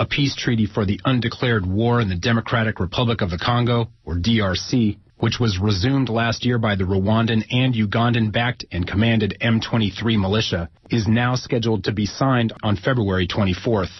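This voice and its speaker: A man speaks at a fairly quick pace and medium pitch, hardly any pauses, very even loudness, fairly even intonation, and a somewhat breathy tone. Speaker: radio news anchor. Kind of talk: radio news read.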